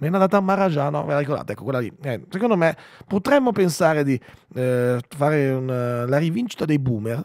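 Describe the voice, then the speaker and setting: In an animated tone, a man speaks at a fairly high pitch and fairly quick pace with lively intonation, the sound dry with no echo and the background quiet. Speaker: radio host. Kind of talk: casual chat. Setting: studio. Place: studio. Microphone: studio mic.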